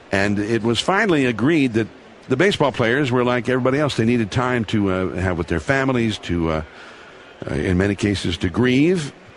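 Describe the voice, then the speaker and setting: A man speaks at a medium pitch and a fairly quick pace, with lively intonation and very even loudness, over noticeable background noise. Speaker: sports broadcaster. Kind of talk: interview answer, recounting memories.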